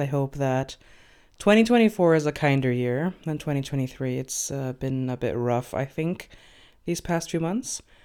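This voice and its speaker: A woman's very deep, low voice with a dark, mellow tone, lively intonation and a fairly slow pace, on a very clean recording with a silent background. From Venezuela. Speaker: fanfiction author and podcast narrator. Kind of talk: reading aloud of own fiction; casual chat.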